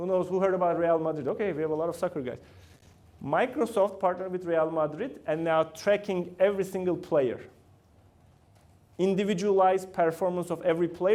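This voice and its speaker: A man with a Turkish accent and a dark, mellow tone talks at a fairly quick pace in a high pitch. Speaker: company founder and CEO giving guest talk. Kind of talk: lecture. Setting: university classroom with student audience.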